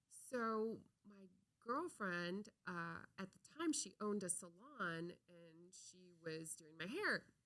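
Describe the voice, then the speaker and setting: This voice, with an American accent, has a bright, sharp tone and lively intonation. It moves at a very slow pace with big swings in loudness. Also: woman, medium pitch for a woman. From Minnesota, US Midwest. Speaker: comedian and actress. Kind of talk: podcast interview.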